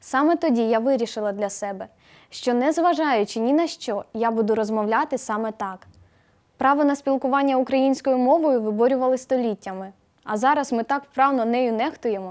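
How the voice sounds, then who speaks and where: A woman with a high pitch, ordinary pitch variation, and a moderate pace. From Ukraine, Boiarka near Kyiv. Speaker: university student. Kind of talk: video blog monologue.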